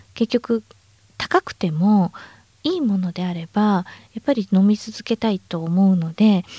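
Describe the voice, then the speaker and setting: In a very clean recording with a silent background and a dry, close sound with no echo, a woman speaks at a fairly slow pace and medium pitch, somewhat breathy and dark, mellow in tone, with ordinary pitch variation. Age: 50s. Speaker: supplement company manager. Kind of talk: interview.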